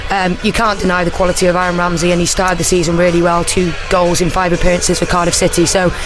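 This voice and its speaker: In a Welsh accent, a woman with a fairly low pitch speaks at a very fast pace with hardly any pauses and monotone, flat intonation, amid noticeable background noise and audible room echo. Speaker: former footballer and co-commentator. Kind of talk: casual chat. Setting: radio studio.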